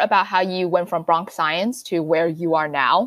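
Her pace is fairly quick. The woman talks in an American accent. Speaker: podcast host. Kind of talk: interview.

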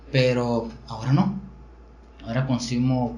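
A man speaking at a fairly slow pace, with audible room echo. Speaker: podcast host. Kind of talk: casual chat. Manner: stutter.

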